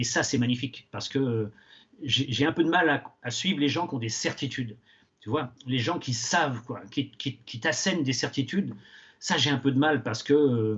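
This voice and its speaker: A man with a medium pitch talks at a moderate pace with ordinary pitch variation. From western France, Angers area. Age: 60s. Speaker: retired teacher and novelist. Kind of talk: interview. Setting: outdoors. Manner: halting, many hesitations.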